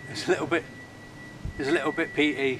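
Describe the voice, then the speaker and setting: A man rattles along at a very fast pace with ordinary pitch variation, noticeable background noise behind him. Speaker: bushcraft vlogger. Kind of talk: casual vlog chat. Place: forest.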